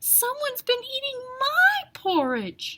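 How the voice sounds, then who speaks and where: In a squeaky put-on character voice, a woman talks at a fairly slow pace with an extremely high pitch. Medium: read story.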